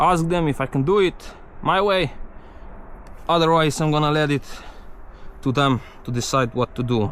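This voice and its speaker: With a Slovenian accent, a man with a fairly high pitch for a man talks at a moderate pace, his loudness very even and his speech broken by long, frequent pauses. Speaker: mountain bike vlogger. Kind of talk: casual vlog narration. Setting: outdoors on bike trail. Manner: halting; animated.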